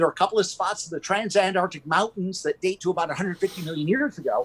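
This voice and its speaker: A man with an American accent speaks at a very fast pace in a high pitch, energetic in tone with ordinary pitch variation. The sound is dry and close with no echo. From US Midwest (Michigan). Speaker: carnivorous plant gallery owner. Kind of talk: live stream interview.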